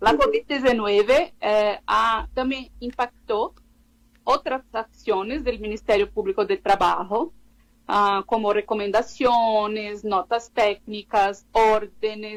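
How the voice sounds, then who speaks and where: A woman with a Portuguese accent, fairly high in pitch, at a very slow pace with ordinary pitch variation. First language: Portuguese (speaking Spanish). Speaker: labor law researcher. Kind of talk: interview. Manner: halting.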